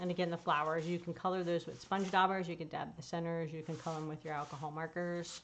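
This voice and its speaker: A woman with fairly low pitch, a very fast pace, and monotone, flat intonation. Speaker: paper crafting demonstrator and product seller. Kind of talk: live stream product demonstration. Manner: casual and chatty.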